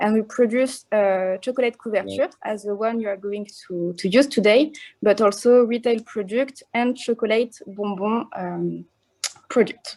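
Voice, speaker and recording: A woman speaks with a strong French accent at a fairly high pitch. Her tone is dark and mellow, her pace moderate, and her pitch variation ordinary. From France. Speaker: chocolate company marketing manager. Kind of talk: online presentation. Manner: hesitant, many fillers.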